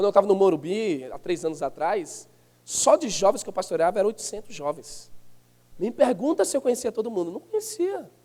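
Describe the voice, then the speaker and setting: A man's high-pitched voice with a dark, mellow tone and lively intonation. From Northeast Brazil. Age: 30s. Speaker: pastor. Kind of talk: sermon. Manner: animated.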